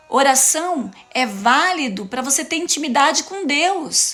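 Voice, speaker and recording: Animated and high-pitched, a woman with a Paraná accent speaks with very wide pitch swings. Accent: Paraná interior. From interior of Paraná, Brazil. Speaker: preacher / motivational speaker. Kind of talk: sermon-style live talk. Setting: live stream.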